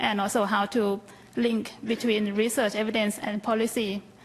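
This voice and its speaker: A woman speaks with a Thai accent at a fairly slow pace. Her fairly high pitch stays monotone, with flat intonation. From Thailand. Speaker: health policy researcher. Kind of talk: conference panel talk. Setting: conference stage with audience.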